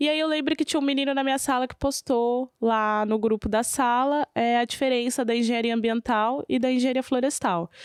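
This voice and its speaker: A woman with a São Paulo accent speaks fairly quickly at a high pitch, with ordinary pitch variation and very even loudness. The sound is dry and close with no echo, a very clean recording with a silent background. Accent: São Paulo Brazilian Portuguese. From São Paulo city, East Zone, Brazil. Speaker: rapper. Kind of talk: interview conversation.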